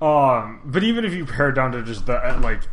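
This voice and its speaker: A man delivers his words fairly slowly, his pitch varying in an ordinary way. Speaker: podcast co-host.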